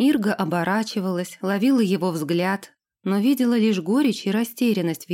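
The voice is plain reading aloud with ordinary pitch variation. The background is quiet.

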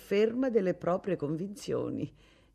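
What you hear is a natural reading voice.

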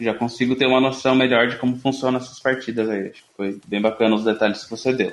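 Over noticeable background noise, a man at medium pitch rattles along at a very fast pace with hardly any pauses, his intonation monotone and flat while his loudness swings widely. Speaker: podcast host. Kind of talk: casual chat.

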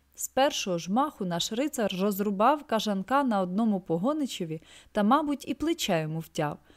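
The delivery is an unforced reading voice with lively intonation.

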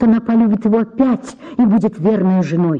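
Someone reads aloud plainly, the pitch varying in an ordinary way.

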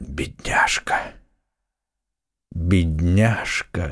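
Whispering hoarsely, a man performs a put-on character voice. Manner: whispering, grief-stricken.

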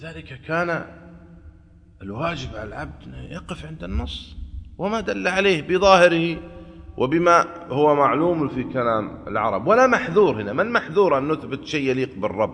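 The man's voice has a fairly bright tone and vocal fry, moving at a fairly quick pace with big pitch swings. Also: fairly high pitch for a man.

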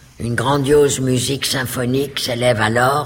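Someone reads aloud in a natural voice, keeping the intonation fairly even.

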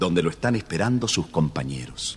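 With an Argentine accent, a man talks at a moderate pace in a low pitch with lively intonation.

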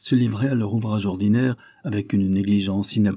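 Fairly even intonation shapes an unforced reading voice.

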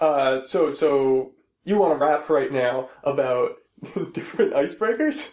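A man with a normal speaking voice, fairly high in pitch, at a fairly slow pace with ordinary pitch variation and very even loudness. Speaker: podcast host. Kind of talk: casual chat. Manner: rambling, joking.

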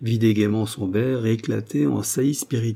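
This is an unforced reading voice. Its intonation stays fairly even.

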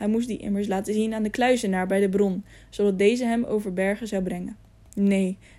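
The clip has a natural reading voice, its intonation fairly even.

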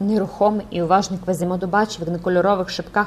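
An unforced reading voice with mostly level intonation

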